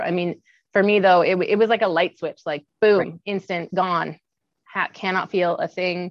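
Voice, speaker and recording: With a Western Canadian accent, a woman speaks at a medium pitch. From Kamloops, British Columbia, Canada. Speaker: Paralympic athlete and lawyer. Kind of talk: interview.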